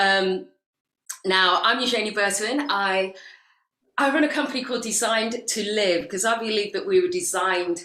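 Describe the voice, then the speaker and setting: A woman with a British accent speaks in a fairly high pitch using lively intonation. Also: moderate pace. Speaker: women's life coach. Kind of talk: guest talk at online conference.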